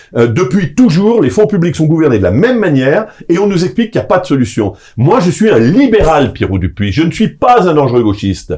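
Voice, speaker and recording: The pitch swings very widely at a fairly quick pace. Loudness stays very even throughout. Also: man, fairly high pitch for a man. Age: 60s. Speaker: association president and political lobbyist. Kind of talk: interview. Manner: hesitant, many filler sounds.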